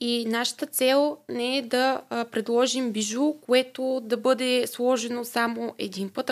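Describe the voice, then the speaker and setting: A woman speaks at a fairly high pitch with a monotone, flat intonation. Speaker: family business marketing manager. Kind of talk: interview. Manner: hesitant, many filler sounds.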